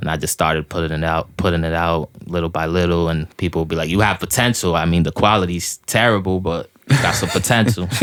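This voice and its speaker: The speaker goes at a very fast pace with hardly any pauses and ordinary pitch variation. Music is audible in the background. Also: man, very deep, low pitch for a man. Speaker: rapper. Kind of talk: casual interview.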